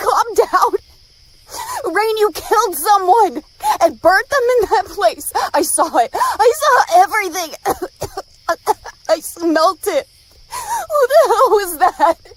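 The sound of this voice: A woman uses a put-on character voice at an extremely high pitch. She talks at a slow pace with big pitch swings.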